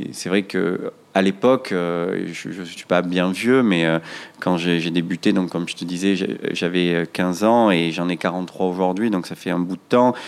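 At a fairly slow pace, a man talks with a very deep, low pitch and fairly even intonation. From Marseille, France. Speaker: restaurant chain founder. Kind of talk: interview conversation. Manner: hesitant, many fillers and repetitions.

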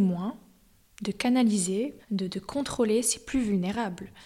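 A woman at a very slow pace, fairly high-pitched, her intonation fairly even. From US (New York, Miami). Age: 20s. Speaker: opera soprano. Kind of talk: interview. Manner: halting.

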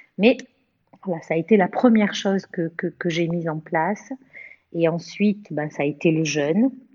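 A woman talks at a moderate pace with fairly low pitch and ordinary pitch variation. She leaves long, frequent pauses. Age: 50s. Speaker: cancer survivor. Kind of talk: testimony. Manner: halting.

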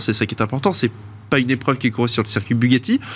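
His pitch shows ordinary variation. This man's voice sits at a medium pitch. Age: 40s. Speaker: auction house partner, classic car specialist. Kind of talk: studio interview. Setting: studio. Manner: hesitant, many fillers.

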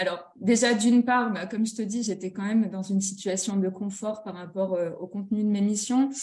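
Speaking at a moderate pace, a woman uses a somewhat breathy, medium-pitched voice with fairly even intonation. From northern France (Nord-Pas-de-Calais). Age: 30s. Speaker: children's clothing brand founder. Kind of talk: interview. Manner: hesitant, many fillers.

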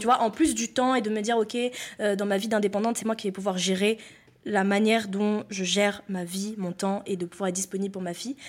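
A woman with an unremarkable speaking voice talks fairly quickly in a medium pitch, keeping her intonation fairly even. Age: 20s. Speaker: entrepreneur. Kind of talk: casual interview.

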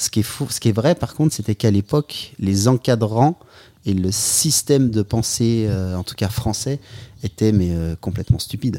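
In a dry, close recording with no echo, a man with a dark, mellow tone and medium pitch speaks at a moderate pace with ordinary pitch variation. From French Alps ski resorts. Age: 40s. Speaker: freeride skier and outdoor athlete. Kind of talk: casual interview chat. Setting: at his home. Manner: hesitant, many repetitions.

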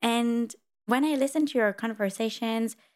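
This woman speaks fairly slowly with a French accent at a fairly high pitch. The recording is very clean, with a silent background. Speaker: podcast host, interviewer. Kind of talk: interview conversation.

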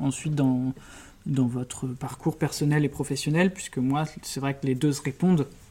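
On a very clean recording with a silent background, a man speaks at a fairly slow pace. His voice is fairly high in pitch, with a dark, mellow tone and fairly even intonation. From Brittany, France (Brest). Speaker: criminal lawyer and prison rights advocate. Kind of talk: interview.

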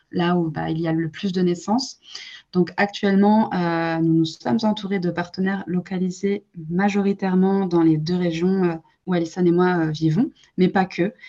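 A woman talks at a moderate pace in a medium pitch. Her tone is dark and mellow, and her intonation fairly even. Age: 20s. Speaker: entrepreneur, co-founder of a postpartum gift brand. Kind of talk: interview. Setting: podcast recording.

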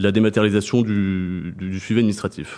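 A man's fairly low voice at a very fast pace, with fairly even intonation over a quiet background. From southern France, Montpellier. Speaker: purchasing director. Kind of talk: interview. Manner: hesitant with fillers.

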